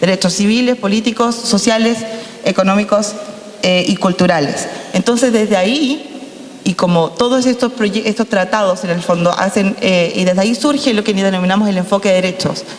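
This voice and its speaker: A woman's voice with very even loudness and ordinary pitch variation over noticeable background noise. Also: medium pitch for a woman. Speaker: lawyer, panel speaker. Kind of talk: panel talk. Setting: panel with audience. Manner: fast.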